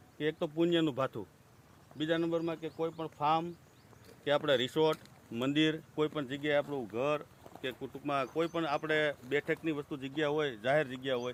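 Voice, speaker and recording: A man with a normal speaking voice talks in a fairly high pitch with fairly even intonation. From Gujarat, Rajkot district (Saurashtra). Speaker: bird feeder maker and seller. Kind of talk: sales pitch. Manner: rambling, repetitive informal speech.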